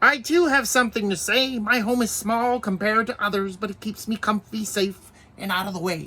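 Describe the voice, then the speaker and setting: A put-on character voice comes across as female-sounding and fairly high-pitched for a woman. It moves at a fairly quick pace. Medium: read story.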